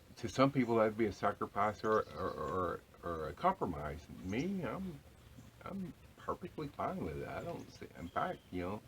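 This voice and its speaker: A man whispers quietly at a moderate pace, with vocal fry. His loudness rises and falls in big swings. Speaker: homesteading vlogger. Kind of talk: casual vlog monologue. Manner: quiet, almost whispering.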